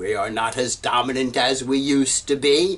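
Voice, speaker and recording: Using an ordinary speaking voice, a man talks at a fairly slow pace with medium pitch and ordinary pitch variation. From United States. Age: 60s. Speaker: professor. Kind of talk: lecture.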